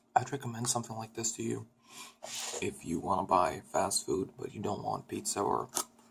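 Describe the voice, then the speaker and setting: This man is soft-spoken with a soothing tone. He talks at a moderate pace. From Sweden. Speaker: ASMR creator. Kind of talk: ASMR eating video talk to camera. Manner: soft-spoken, soothing.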